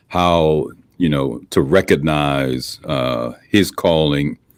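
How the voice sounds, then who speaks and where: The speaker is a man. His voice has vocal fry. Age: 60s. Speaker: pastor and church conference president. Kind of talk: interview. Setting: video call from his office.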